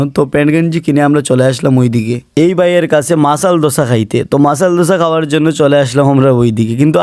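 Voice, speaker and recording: A man has a plain, everyday voice. His pitch is fairly high, with ordinary pitch variation. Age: 20s. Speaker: vlogger. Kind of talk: casual vlog narration.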